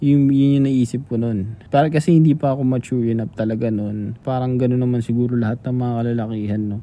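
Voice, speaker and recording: A man speaks at medium pitch with a dark, mellow tone. His intonation stays fairly even. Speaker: podcast co-host. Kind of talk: casual chat.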